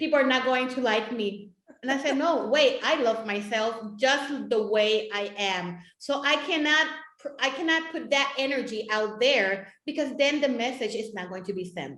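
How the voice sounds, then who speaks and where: With a Puerto Rican accent, a woman speaks at a moderate pace in a high voice with ordinary pitch variation. There is audible room echo. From Puerto Rico. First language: Spanish. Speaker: talk show host. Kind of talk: interview chat.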